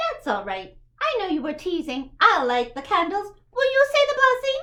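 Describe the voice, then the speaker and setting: In a put-on character voice, a female-sounding speaker squeaks at an extremely high pitch, swinging very widely up and down at a moderate pace. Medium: read story. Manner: warm, chatty.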